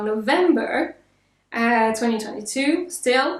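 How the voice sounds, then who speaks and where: A woman with a French accent speaks at a very slow pace in a high voice. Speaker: vlogger. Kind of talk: casual vlog talk to camera. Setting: home apartment.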